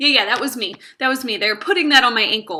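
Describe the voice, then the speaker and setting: Raising and projecting her voice, a woman sounds animated, her tone bright and sharp. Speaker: English teacher vlogger. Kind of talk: casual vlog storytelling. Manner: loud.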